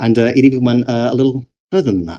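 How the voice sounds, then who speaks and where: With a British accent, a man speaks at a moderate pace in a dark, mellow tone. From Britain. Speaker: game developer and conference speaker. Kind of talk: conference talk.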